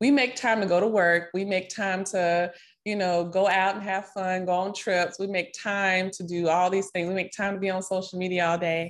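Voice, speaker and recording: A woman's medium-pitched voice in a Southern US accent, monotone, flat intonation and a moderate pace, on a very clean recording with a silent background. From Nashville, Tennessee. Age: 30s. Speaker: financial coach and yoga teacher. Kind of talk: interview.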